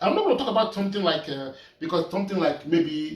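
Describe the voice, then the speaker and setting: A man speaks over noticeable background noise. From Nigeria. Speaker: painter. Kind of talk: casual talk while painting. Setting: art studio. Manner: halting, repeating words.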